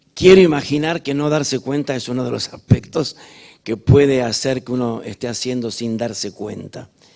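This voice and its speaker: A man with a Rioplatense accent speaks at a moderate pace and medium pitch, his pitch varying in an ordinary way while his loudness swings widely. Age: 60s. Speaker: musical theatre director and choreographer. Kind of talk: onstage interview. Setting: stage with audience.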